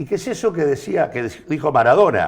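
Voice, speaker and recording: Pitch swings very widely in this man's voice. He speaks at a fairly quick pace. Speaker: political commentator. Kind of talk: panel discussion. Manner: halting.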